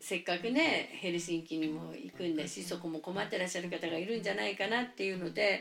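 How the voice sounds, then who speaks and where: A woman with a fairly low pitch and ordinary pitch variation talks at a very fast pace with hardly any pauses. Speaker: preschool teacher. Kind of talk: interview.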